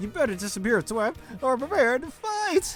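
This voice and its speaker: Someone puts on a character voice pitched high, with very wide swings in pitch. The pace is moderate, and background noise is clearly audible. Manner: theatrical, sneering.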